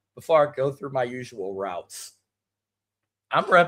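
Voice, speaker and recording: A bright, sharp tone with vocal fry and lively intonation at a moderate pace, on a very clean recording with a silent background. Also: man. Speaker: sports show host. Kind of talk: casual sports commentary. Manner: subdued, not shouting.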